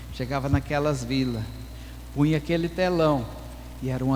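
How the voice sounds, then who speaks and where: A man's voice with audible room echo. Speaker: pastor and missionary. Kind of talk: testimony.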